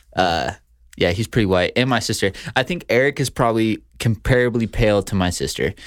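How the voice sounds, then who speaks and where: Fairly quick, lively speech from a man at medium pitch, with vocal fry, on a very clean recording with a silent background. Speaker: podcast co-host. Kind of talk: casual chat. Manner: fast when excited.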